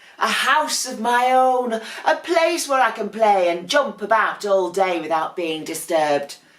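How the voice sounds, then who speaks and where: A woman uses a put-on character voice. She speaks at a moderate pace with a fairly high pitch. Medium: read story. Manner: huffy, indignant.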